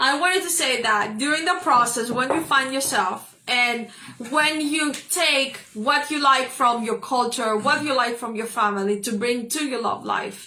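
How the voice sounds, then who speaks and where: In a raised, projected voice, a woman talks at a fairly slow pace with a high pitch and ordinary pitch variation, amid noticeable background noise and audible room echo. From Greece. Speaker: holistic wellness show co-host. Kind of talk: casual live-stream discussion. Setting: live video stream.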